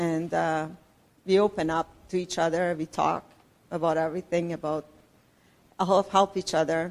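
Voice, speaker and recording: A woman talks with a Persian accent. Her pitch is fairly low. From Iran. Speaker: church member sharing testimony. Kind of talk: testimony.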